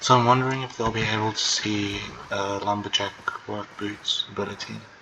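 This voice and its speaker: Over noticeable background noise, a soft-spoken man talks at a moderate pace in a fairly low, monotone voice with flat intonation. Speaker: gaming video creator. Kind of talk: gameplay commentary.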